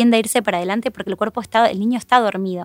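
A woman with an Argentine accent speaks at a medium pitch with fairly even intonation, in a dry, close sound with no echo and music in the background. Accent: Argentine Spanish (Rioplatense). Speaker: road safety educator. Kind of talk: interview.

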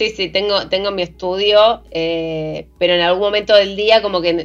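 In a normal speaking voice, a woman speaks at a fairly low pitch with fairly even intonation. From Argentina, Santa Cruz (Patagonia). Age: 40s. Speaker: playwright and screenwriter. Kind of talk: casual interview conversation.

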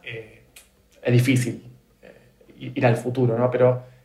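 A man with a Rioplatense accent speaks at a medium pitch. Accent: Argentine Rioplatense Spanish. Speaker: podcast host. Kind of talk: interview conversation. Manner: halting, many repetitions.

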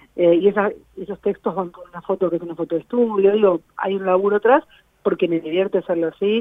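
A woman speaks at a very fast pace at a medium pitch. Her intonation is fairly even, but her loudness swings widely. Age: 40s. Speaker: blogger and social media specialist. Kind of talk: casual interview.

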